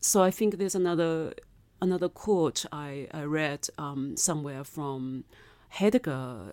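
On a very clean recording with a silent background, a woman with a very deep, low voice and a dark, mellow tone speaks fairly slowly with lively intonation and big swings in loudness. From China. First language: Mandarin. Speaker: novelist and filmmaker. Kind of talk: interview conversation. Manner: thoughtful, hesitant with fillers.

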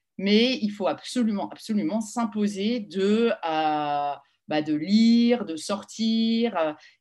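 A woman speaks at a very slow pace. Her voice sits at a medium pitch with lively intonation. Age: 40s. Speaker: marketing executive. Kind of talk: interview.

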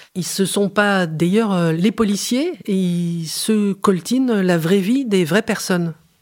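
On a very clean recording with a silent background, a woman speaks at a very slow pace in a medium pitch with ordinary pitch variation. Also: hardly any pauses. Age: 50s. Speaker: anthropologist. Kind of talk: interview. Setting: studio recording in Marseille. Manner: hesitant.

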